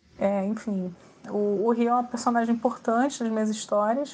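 With a flat, monotone delivery, a woman talks at a moderate pace and a fairly high pitch. The background is quiet. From Brazil, Rio de Janeiro. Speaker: author. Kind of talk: interview answers. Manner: halting, with repeated fillers.

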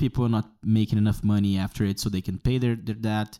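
Talking at a fairly quick pace, a man with a fairly low pitch and a dark, mellow tone keeps his intonation fairly even, in a dry, close sound with no echo on a very clean recording with a silent background. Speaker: podcaster and English teacher. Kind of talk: opinion monologue. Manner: halting, many fillers.

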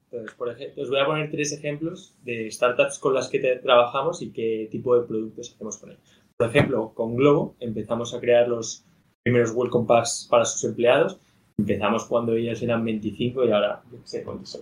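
A somewhat breathy male voice with fairly even intonation and big swings in loudness. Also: medium pitch for a man, moderate pace. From Madrid, Spain. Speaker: startup co-founder. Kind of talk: casual interview.

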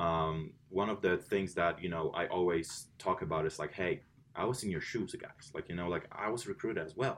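A very deep, low-pitched man with a Polish accent, at a moderate pace with ordinary pitch variation. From Poland. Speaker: college swim coach. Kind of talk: interview. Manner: many fillers and repetitions.

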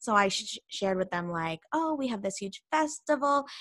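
In a very clean recording with a silent background and a dry, close sound with no echo, a woman speaks at a moderate pace with lively intonation in an ordinary speaking voice. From Canada. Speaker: podcast host and language assistant. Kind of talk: casual chat.

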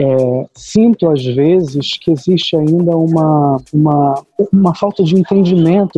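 A high-pitched man speaks at a fairly slow pace. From Brazil, Baixada Fluminense (Rio de Janeiro). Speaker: artist and educator. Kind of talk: casual chat.

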